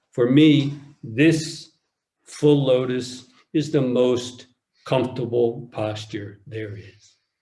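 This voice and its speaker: His intonation hardly rises or falls, staying fairly even. The man's voice carries a somewhat breathy quality. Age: 60s. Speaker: Zen teacher. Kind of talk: dharma talk. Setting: online retreat.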